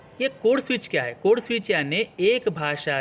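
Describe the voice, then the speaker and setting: With a Marathi accent, a man speaks in very wide pitch swings. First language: Marathi (speaking Hindi). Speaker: English teacher. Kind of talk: tutorial.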